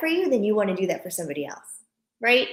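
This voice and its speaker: Her voice sits fairly high for a woman, with an animated tone. Audible room echo surrounds the woman. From Japan. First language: Japanese. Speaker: author and parent. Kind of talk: interview.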